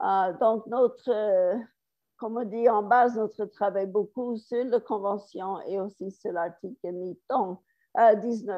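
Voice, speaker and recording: A woman talks at a very slow pace. Her voice is fairly high in pitch. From United States. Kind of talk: conference talk. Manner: halting.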